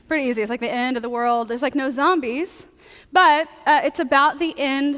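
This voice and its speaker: The voice is loud, with ordinary pitch variation. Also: woman. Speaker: preacher. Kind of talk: sermon. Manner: fast.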